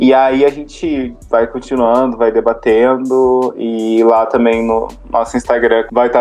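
There is music in the background. Over it, a man speaks at medium pitch. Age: 20s. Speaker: podcast co-host, artist. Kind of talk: casual chat. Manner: animated.

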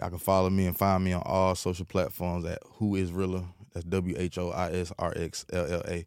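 In a very clean recording with a silent background, a man talks fairly quickly in a very deep, low, flat monotone. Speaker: rapper, podcast guest. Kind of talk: group discussion.

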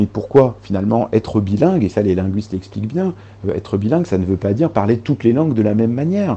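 Very fast and lively in intonation, the voice is somewhat breathy with a dark, mellow tone. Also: man, fairly low pitch for a man. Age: 30s. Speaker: journalist and author. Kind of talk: interview.

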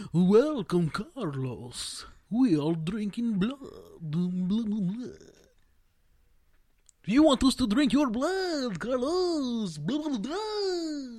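A put-on character voice, fairly high in pitch, at a very slow pace with very wide pitch swings. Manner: silly, blah-blah mocking.

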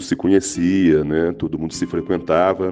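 A man's very deep, low voice, dark and mellow in tone, at a fairly slow pace. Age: 50s. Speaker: children's author. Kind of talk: interview. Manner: halting.

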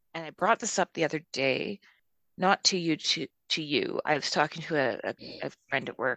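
With a western Canadian accent, a woman speaks at a moderate pace in a bright, sharp tone with ordinary pitch variation, the sound dry and close with no echo. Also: fairly low pitch for a woman. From Calgary, Canada. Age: 30s. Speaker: podcast co-host. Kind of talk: casual chat.

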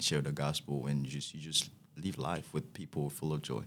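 A man talks at a moderate pace. His pitch is very deep and low. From Haiti. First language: Haitian Creole. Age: young. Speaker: student. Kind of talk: casual interview. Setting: studio. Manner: halting.

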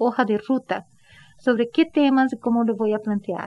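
Speaking at a moderate pace, a woman uses a high pitch with a Brazilian accent. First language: Portuguese (speaking Spanish). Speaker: professor and researcher. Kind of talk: interview.

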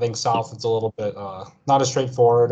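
Somewhat breathy, the man's voice has a dark, mellow tone. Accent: American. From United States. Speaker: video game industry worker. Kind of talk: casual interview. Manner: halting, many fillers.

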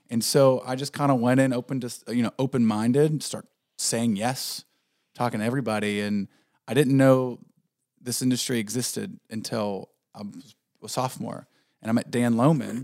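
A normal speaking voice from a man with an American accent, medium in pitch, moving at a moderate pace with fairly even intonation. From southwestern Pennsylvania, near West Virginia border. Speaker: video production company owner. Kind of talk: casual chat.

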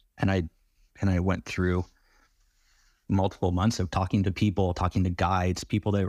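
A man's very deep, low voice, dry and close with no echo, on a very clean recording with a silent background. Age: 30s. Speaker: builder in recovery from addiction. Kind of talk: interview testimony.

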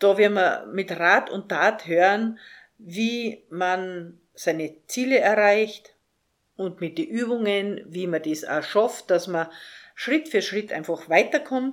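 In a very clean recording with a silent background, a woman of medium pitch speaks very slowly with lively intonation. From Austria, Salzburg. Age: 50s. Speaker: life coach and podcast host. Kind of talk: podcast monologue.

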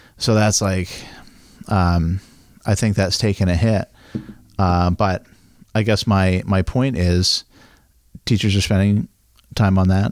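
With an American accent, a man speaks at a fairly slow pace in a fairly low pitch, flat monotone intonation and very even loudness, leaving long, frequent pauses in a dry, close sound with no echo. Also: very clean recording, silent background. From Maine, US (Midcoast). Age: 30s. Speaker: local business owner and school board member. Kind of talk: casual chat.

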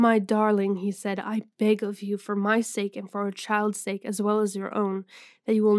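A text read aloud in a natural voice.

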